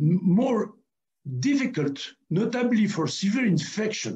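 Against a quiet background, the speech moves at a very slow pace with very wide pitch swings. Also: man. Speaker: award lecture presenter. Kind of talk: lecture. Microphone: webcam.

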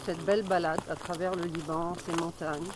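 Speech comes at a fairly slow pace with fairly even intonation. The sound is dry with no echo, and noticeable background noise is present. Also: woman. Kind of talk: interview answer. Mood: warm, heartfelt. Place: forest. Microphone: phone near.

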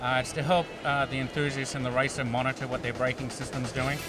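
Clear music plays in the background as a man speaks at a very fast pace. The sound is dry with no echo. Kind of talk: interview answer. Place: hall. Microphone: handheld.

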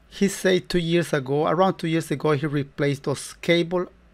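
A man speaks at a moderate pace. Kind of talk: tutorial. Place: workshop.

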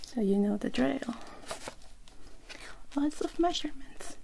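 A soft-spoken woman talks in a gentle tone at a fairly slow pace. Light background noise is present. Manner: soft, close, gentle ASMR talking. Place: home room. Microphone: webcam.

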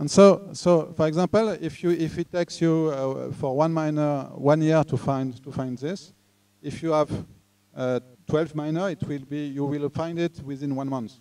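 A man speaks with a French accent in a dark, mellow tone. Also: fairly high pitch for a man, fairly even intonation, moderate pace. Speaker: tech talk speaker; speaker. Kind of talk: lecture. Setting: live talk with audience. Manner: halting. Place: hall. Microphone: handheld.

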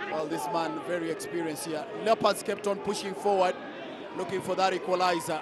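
Over noticeable background noise, a man talks at a fairly quick pace with a high pitch and fairly even intonation. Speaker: football commentator. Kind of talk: live football commentary, over match highlights. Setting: voice-over on match highlights.

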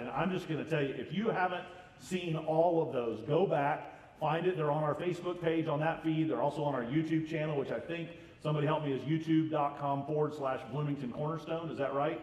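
An American-accented man speaks with a fairly high pitch, a slightly mellow tone, ordinary pitch variation and few pauses over faint background noise.

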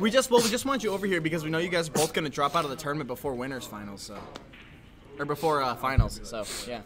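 This man talks at a very fast pace with a fairly high pitch and very wide pitch swings. His loudness swings a lot, and background noise is noticeable. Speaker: tournament player and guest commentator; tournament stream commentator. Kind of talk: live commentary. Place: classroom. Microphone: studio mic.

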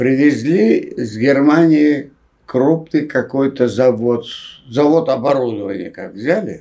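A man talks at a very slow pace, his intonation lively. His tone is dark and mellow, set against a quiet background. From Rostov region, Russia. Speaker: film director and writer, former Gulag prisoner. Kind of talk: interview answer. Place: home room.

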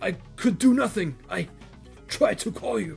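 A put-on character voice at middle pitch moves at a moderate pace over clear music in the background. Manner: barking, desperate.

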